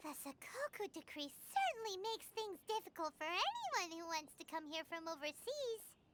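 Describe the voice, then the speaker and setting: A put-on character voice at an extremely high pitch, moderate in pace with hardly any pauses. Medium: video game.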